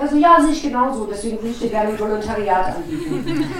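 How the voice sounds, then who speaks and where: A woman talks amid clearly audible background noise and noticeable room reverberation. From Brandenburg, Potsdam. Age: 40s. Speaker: former radio journalist, communications worker. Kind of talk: personal testimony to an audience. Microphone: poor sound quality.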